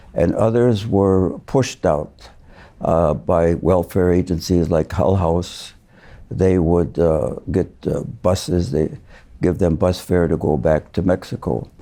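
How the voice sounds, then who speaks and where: A man's very deep, low voice with an American accent, at a very slow pace, ordinary pitch variation, very even loudness and a dark, mellow tone, on a very clean recording with a silent background. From Chicago, US Midwest. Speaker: retired judge. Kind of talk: interview. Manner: halting, many fillers.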